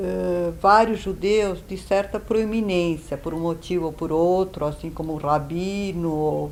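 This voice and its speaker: Ordinary pitch movement accompanies a fairly slow delivery. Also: woman. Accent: Serbo-Croatian. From Yugoslavia, Belgrade. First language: Serbo-Croatian (speaking Portuguese). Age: 70s. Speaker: Holocaust survivor. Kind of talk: testimony. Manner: hesitant, with fillers.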